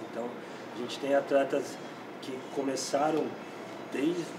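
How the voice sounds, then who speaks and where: Moderate pace over noticeable background noise. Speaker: bodybuilding competition judge. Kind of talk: panel evaluation. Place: gym.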